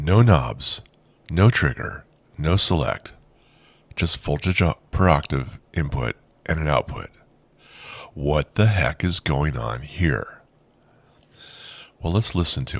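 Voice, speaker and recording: On a very clean recording with a silent background, a man speaks at a very slow pace with long, frequent pauses. His very deep, low pitch carries vocal fry and lively intonation. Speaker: synth tutorial youtuber. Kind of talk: tutorial. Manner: casual, conversational.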